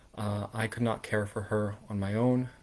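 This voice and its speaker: A man speaks in a flat monotone at a moderate pace. The recording is very clean, with a silent background. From southern New Jersey, US. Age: 20s. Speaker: political candidate. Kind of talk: campaign livestream talk. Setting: livestream. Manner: halting, many fillers.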